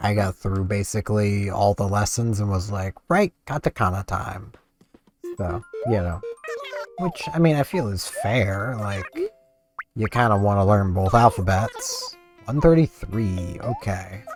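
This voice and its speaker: With music in the background, a soft-spoken man talks at a fairly slow pace. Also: ordinary pitch variation. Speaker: gaming YouTuber. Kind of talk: casual gameplay commentary. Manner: quiet, soft-spoken.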